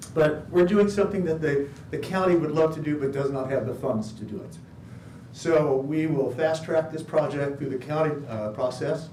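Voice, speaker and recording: Room echo is audible as a man talks at a moderate pace in a fairly high pitch with ordinary variation. His loudness swings a lot. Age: old. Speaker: project applicant presenting to committee. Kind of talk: public meeting presentation.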